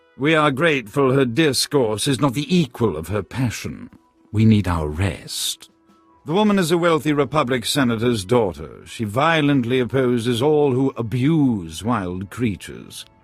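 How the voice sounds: A man's put-on character voice at medium pitch, with a slightly husky edge, big pitch swings, a fairly slow pace and faint music in the background.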